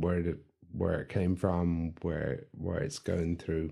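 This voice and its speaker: Against a quiet background, a man with an Irish accent talks at a fairly slow pace. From Ireland. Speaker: podcast co-host. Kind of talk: casual chat.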